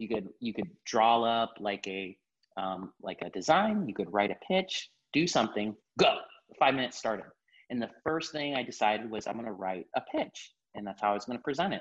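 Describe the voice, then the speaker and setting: An ordinary speaking voice with an American accent moves at a fairly quick pace with lively intonation. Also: man, medium pitch for a man. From Miami, Florida. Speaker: marketing account executive. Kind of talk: casual interview.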